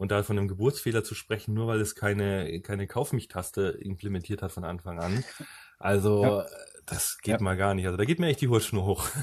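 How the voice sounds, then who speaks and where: Speaking at a fairly quick pace, a man with a somewhat breathy voice shows ordinary pitch variation in a very clean recording with a silent background. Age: 30s. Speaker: podcast host. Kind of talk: casual chat.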